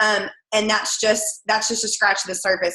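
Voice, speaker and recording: Speaking at a very fast pace, a woman talks with an American accent. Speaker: direct sales team leader and third grade teacher. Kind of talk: sales training call. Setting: conference call with screen share.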